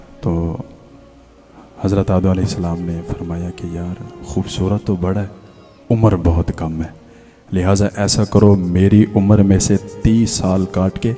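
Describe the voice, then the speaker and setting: Over music in the background, a man with a very deep, low pitch speaks with monotone, flat intonation. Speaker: Islamic scholar giving a sermon. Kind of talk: religious sermon (bayan) to an audience. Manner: emotional, preachy, heart-touching delivery.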